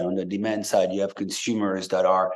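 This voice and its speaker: A man with a French accent speaks at a moderate pace. Audible room echo and noticeable background noise surround him. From France. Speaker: tech company CEO. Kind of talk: podcast interview. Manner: hesitant, many fillers.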